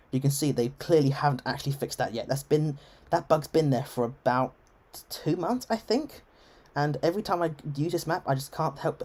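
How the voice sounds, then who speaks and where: A fairly quick pace in an English accent. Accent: English, received pronunciation. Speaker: game streamer. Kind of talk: live gameplay stream chat. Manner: formal register; halting, many self-corrections.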